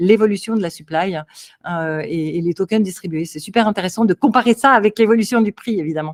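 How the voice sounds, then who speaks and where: Lively intonation comes through on a very clean recording with a silent background, the sound dry and close with no echo. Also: woman. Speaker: crypto consultant. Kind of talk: interview. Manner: animated.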